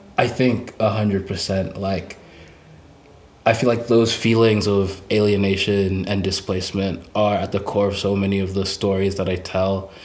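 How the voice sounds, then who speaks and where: A man's fairly low, monotone, flat voice at a moderate pace, with audible room echo. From Essex, England, then international schools in China. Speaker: musician. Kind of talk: casual interview. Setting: homemade fort set.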